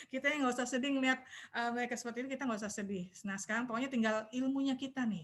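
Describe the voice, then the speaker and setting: A woman's high-pitched voice at a very fast pace, with fairly even intonation. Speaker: Islamic religious teacher. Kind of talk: online religious study talk. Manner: quiet. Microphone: too quiet, far from mic.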